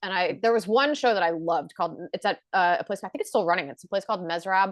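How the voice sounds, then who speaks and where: Against a quiet background, a woman speaks at a very fast pace, the sound dry and close with no echo. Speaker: stand-up comedian. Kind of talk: casual chat.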